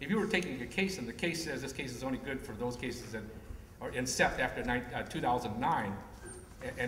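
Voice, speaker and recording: A man talks very fast with very wide pitch swings. Noticeable background noise and audible room echo fill the recording. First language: not English. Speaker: panelist. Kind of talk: panel discussion.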